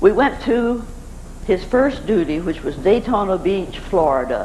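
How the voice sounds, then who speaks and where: Very slow speech from a woman at a medium pitch, with very wide pitch swings and noticeable background noise. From Arkansas. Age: 80s+. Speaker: navy chaplain's wife. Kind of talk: spoken memoir talk.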